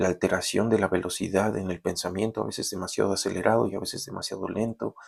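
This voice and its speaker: The intonation of this man's voice is fairly even. His pitch is very deep and low. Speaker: university lecturer. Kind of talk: recorded lecture then reading aloud a story. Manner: halting.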